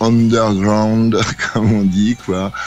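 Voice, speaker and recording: Over music in the background, a man speaks very slowly in a fairly low pitch. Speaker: band singer-songwriter and stage actor. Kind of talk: radio interview. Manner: hesitant, many fillers.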